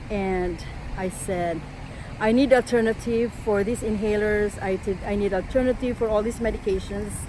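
A fairly high-pitched woman with fairly even intonation at a moderate pace, over noticeable background noise. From Philippines. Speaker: energy healing instructor. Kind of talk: motivational talk.

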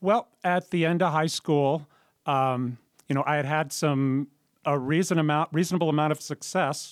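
A man with an American accent speaks at a moderate pace in a plain, everyday voice, his pitch fairly high with fairly even intonation and very even loudness. The recording is very clean with a silent background, and the sound is dry and close, with no echo. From Southern California. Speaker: jazz drummer. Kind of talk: radio interview. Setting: radio studio.

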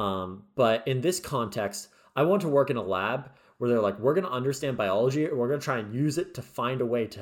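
A man with a normal speaking voice talks at a fairly quick pace and medium pitch, his intonation lively. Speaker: podcast co-host and medical student. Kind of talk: casual chat. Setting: video call.

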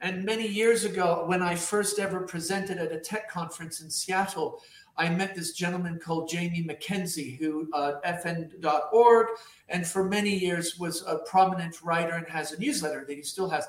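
A man with a high pitch and fairly even intonation speaks at a moderate pace amid noticeable background noise. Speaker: podcast host. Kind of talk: casual interview.

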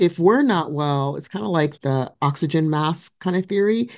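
Over a silent background in a very clean recording, a woman speaks fairly slowly with lively intonation. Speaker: podcast host. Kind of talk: casual interview conversation.

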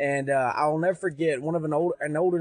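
In a dry, close sound with no echo, a man with an Arkansas accent speaks at a fairly high pitch and a fairly quick pace, with ordinary pitch variation. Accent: Southern US (Arkansas). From US South, Pine Bluff, Arkansas. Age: 20s. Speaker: youth pastor. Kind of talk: testimony.

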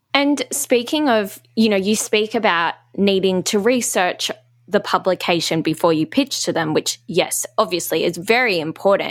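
A woman with an Australian accent talks at a moderate pace and a medium pitch. Her loudness stays very even. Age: 20s. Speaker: podcast host. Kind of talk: casual interview; scripted intro.

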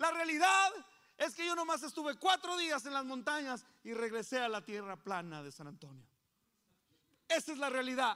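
A man speaks with an extremely high pitch, very wide pitch swings and a bright, sharp tone. His voice is raised and projected, moving at a moderate pace with big swings in loudness. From Coahuila, Mexico. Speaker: pastor. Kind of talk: sermon.

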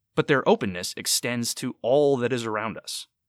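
Speaking at a moderate pace in an ordinary speaking voice, a man with a medium pitch is heard in a dry, close sound with no echo on a very clean recording with a silent background. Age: 30s. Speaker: podcast host. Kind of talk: podcast monologue.

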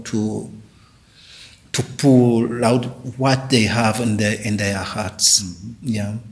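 A man speaks in a flat monotone at medium pitch. His voice is somewhat breathy. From Rwanda, Southern Province. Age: 50s. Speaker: pastor. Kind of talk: interview. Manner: halting.

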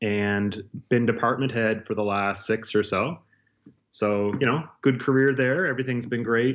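With a Maritime Canadian accent, a man speaks at medium pitch. He keeps a moderate pace with ordinary pitch variation. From Nova Scotia, Canada. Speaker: university chemist. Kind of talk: interview.

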